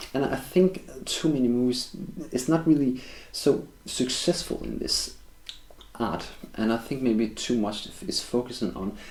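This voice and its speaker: Here a man speaks with a Danish accent in a dark, mellow tone. His pace is moderate and his pitch variation ordinary. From Denmark. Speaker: film reviewer. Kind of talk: video review monologue. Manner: halting, with frequent fillers and restarts.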